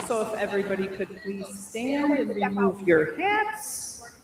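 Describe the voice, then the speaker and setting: A woman talks at a fairly slow pace and medium pitch. Noticeable background noise and audible room echo accompany her. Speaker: show announcer. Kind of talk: PA announcements. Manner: loud.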